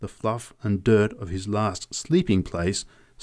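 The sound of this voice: The intonation stays fairly even in an unforced reading voice.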